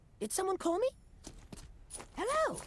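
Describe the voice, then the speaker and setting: This put-on character voice is squeaky and extremely high, with a bubbly, enthusiastic tone. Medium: audio drama.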